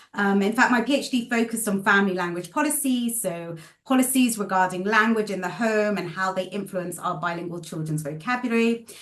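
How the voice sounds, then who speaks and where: The voice moves at a fairly quick pace with hardly any pauses and ordinary pitch variation. Noticeable background noise runs underneath. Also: woman, medium pitch for a woman. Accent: British. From UK. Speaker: speech therapist and researcher. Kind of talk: podcast interview. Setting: call.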